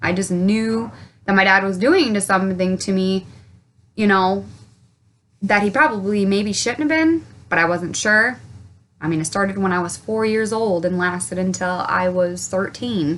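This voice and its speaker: Pace is moderate, and pitch moves with ordinary variation. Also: woman, medium pitch for a woman. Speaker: childhood abuse survivor and advocate. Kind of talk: personal testimony to camera. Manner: rambling, hesitant.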